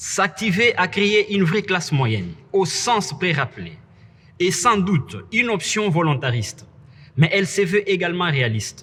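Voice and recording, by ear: A man speaks high for a man at a fairly slow pace. His tone is fairly bright, and his pitch swings are big.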